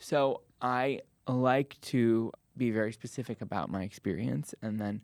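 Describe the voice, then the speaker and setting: A man with a plain, everyday voice, medium pitch and ordinary pitch variation. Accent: American. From US Midwest (Cleveland, Ohio). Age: 20s. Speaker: actor and playwright. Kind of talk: casual interview; live storytelling.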